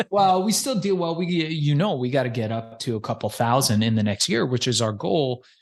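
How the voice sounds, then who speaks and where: Against a quiet background, a man speaks at a fairly high pitch with very wide pitch swings. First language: not English. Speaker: podcast agency founder. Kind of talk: podcast interview.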